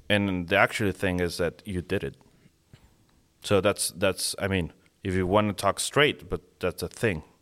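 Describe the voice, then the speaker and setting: A voice with a Mexican accent, fairly even intonation and long, frequent pauses, dry and close with no echo, on a very clean recording with a silent background. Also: man, very deep, low pitch for a man, moderate pace. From Mexico (Monterrey). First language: Spanish. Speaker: falconer and lawyer. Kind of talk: casual interview. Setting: at guest's home after dinner. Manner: halting, with many restarts.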